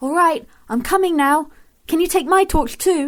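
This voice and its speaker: Someone puts on a squeaky character voice. The pace is moderate. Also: woman, extremely high pitch for a woman. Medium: audio drama. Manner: soft, careful.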